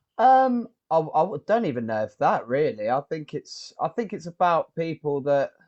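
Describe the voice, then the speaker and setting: A man with a southern English accent and a fairly high pitch, at a moderate pace with very wide pitch swings and hardly any pauses, in a dry, close sound with no echo against a quiet background. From southern England. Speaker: rock band musician. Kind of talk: interview. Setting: video call.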